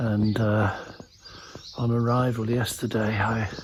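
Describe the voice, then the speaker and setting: A man whispers at a very slow pace in a relaxed tone. Background noise is noticeable. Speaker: travel vlogger on pilgrimage. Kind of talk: walking travelogue vlog. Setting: outdoors walking through village. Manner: relaxed, musing; whispering.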